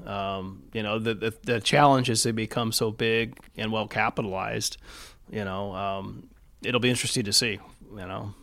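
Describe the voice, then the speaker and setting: A man with a Californian accent speaks in a fairly low pitch with a bright, sharp tone. His intonation is fairly even, and the recording is very clean with a silent background. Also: moderate pace. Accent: Californian American. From Southern California (East Los Angeles). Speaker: health system executive. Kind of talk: interview. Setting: in person, Laguna Beach.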